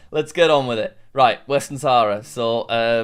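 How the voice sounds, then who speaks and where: A man talks in a plain, everyday voice. His pitch is medium with ordinary pitch variation. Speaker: YouTuber playing geography quizzes. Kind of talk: live gameplay commentary.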